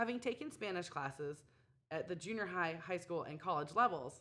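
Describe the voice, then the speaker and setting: Fairly low in pitch, this woman has a plain, everyday voice with a General American accent. She speaks at a fairly quick pace with lively intonation. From US Southwest, Phoenix, Arizona. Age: 20s. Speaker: English teacher job applicant. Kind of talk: scripted self-introduction video. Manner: formal.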